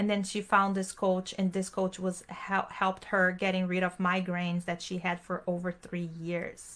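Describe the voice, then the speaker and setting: A woman with a Portuguese accent at medium pitch, bright and sharp in tone, fairly slow in pace. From Brazil. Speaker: online business strategist, event host. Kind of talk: live panel talk to online audience. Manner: casual, enthusiastic.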